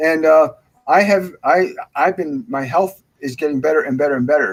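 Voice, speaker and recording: This man has a normal speaking voice with a fairly high pitch. His pitch varies in an ordinary way, and his pace is moderate. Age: 60s. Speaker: spiritual medium. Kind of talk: casual conversation.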